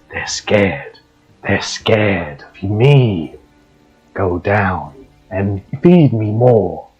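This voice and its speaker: A man's whispered, put-on character voice at a very slow pace, with faint music in the background. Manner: eerie, whispering.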